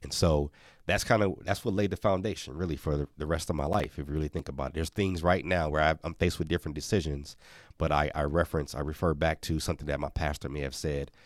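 On a very clean recording with a silent background, a man talks at a very fast pace with very deep, low pitch and fairly even intonation. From Milwaukee, Wisconsin, US. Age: 40s. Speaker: children's author, former mascot. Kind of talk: interview.

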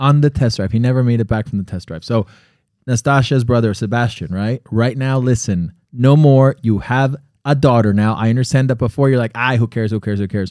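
A man with an unremarkable speaking voice talks at a fairly quick pace in a medium pitch, with ordinary pitch variation. The recording is very clean with a silent background and a dry, close sound with no echo. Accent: American. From US, Connecticut-born, Colombian family. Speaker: podcast co-host. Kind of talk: casual chat. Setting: studio.

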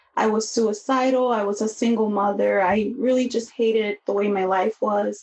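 The pace of speech is moderate. An American accent comes through. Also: woman. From US Midwest, Chicago. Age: 30s. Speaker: podcast host and counseling student. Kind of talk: interview testimony.

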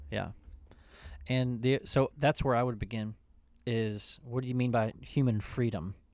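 A man with an unremarkable speaking voice talks fairly slowly at a medium pitch with ordinary pitch variation. The recording is very clean, with a silent background. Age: 40s. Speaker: pastor and podcast co-host. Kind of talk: casual theological discussion.

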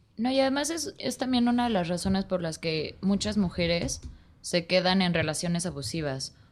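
On a very clean recording with a silent background, a woman talks at a medium pitch and a moderate pace with lively intonation. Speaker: podcast guest. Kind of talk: casual chat.

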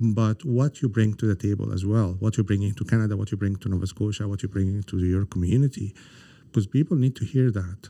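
Speech comes at a very fast pace in a dark, mellow tone with ordinary pitch variation. The sound is dry and close with no echo, on a very clean recording with a silent background. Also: man, fairly low pitch for a man. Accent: Arabic. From Egypt (Cairo). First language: Arabic. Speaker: government economic development director. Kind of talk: interview conversation. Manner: halting, many fillers.

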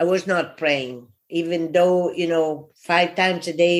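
With an Italian accent, a woman talks at a fairly slow pace in a fairly low pitch, her intonation monotone and flat. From Italy. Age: 60s. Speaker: immigrant entrepreneur. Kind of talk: interview.

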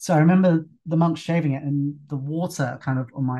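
A man's fairly high voice in a London accent. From London, England. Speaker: fitness instructor. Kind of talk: casual interview conversation. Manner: relaxed, conversational, some hesitations.

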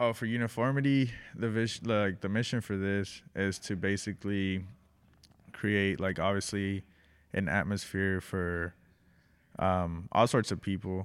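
On a very clean recording with a silent background, a man with a Spanish accent speaks at a fairly slow pace. His intonation is fairly even, and he takes long, frequent pauses. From Mexico, raised in Texas. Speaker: print shop owner. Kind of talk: casual interview.

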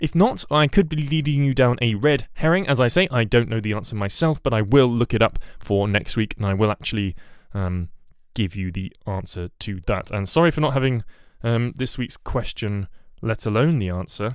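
The recording is very clean, with a silent background. A man with a British accent speaks at a medium pitch and a moderate pace, his intonation lively. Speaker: podcast host. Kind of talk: solo news bulletin podcast. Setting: home recording, bedroom. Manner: rambling, hesitant, self-correcting.

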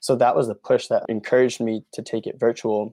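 In a dry, close recording with no echo and a quiet background, a man with an American accent speaks at medium pitch in a dark, mellow tone. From Pennsylvania, Norristown area. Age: 30s. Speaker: founder of a project meeting thousands of people. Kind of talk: podcast interview.

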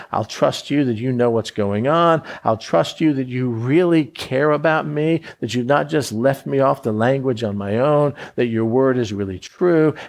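A man with an American accent speaks at a moderate pace and a medium pitch, with ordinary pitch variation, against a quiet background. It is a plain, everyday voice. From Florida. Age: 60s. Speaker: preacher. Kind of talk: sermon.

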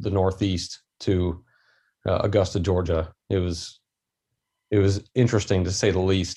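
Speaking with an American accent, a man with a very deep, low pitch and a dark, mellow, somewhat breathy tone talks at a fairly slow pace with fairly even intonation and long, frequent pauses, in a very clean recording with a silent background. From Maryland, US. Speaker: army veteran in software sales. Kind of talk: casual interview.

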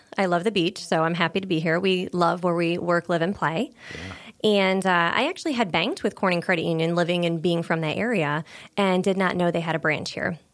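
A woman speaks at a fairly quick pace in an ordinary speaking voice, pitched fairly low. The recording is very clean, with a silent background. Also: fairly even intonation, very even loudness. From small-town Pennsylvania near New York border. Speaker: credit union market development manager. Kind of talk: interview conversation.

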